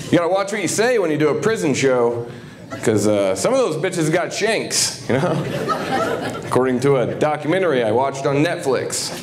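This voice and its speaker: A man with an American accent speaks fairly quickly at a fairly high pitch, his voice swinging very widely. Noticeable background noise and audible room echo fill the recording. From southern Ohio. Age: 30s. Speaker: comedian. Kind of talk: stand-up. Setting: stage with audience.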